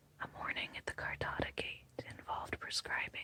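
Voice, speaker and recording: Someone whispers. The pace is moderate. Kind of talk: whispered audiobook narration. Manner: whispered, soft.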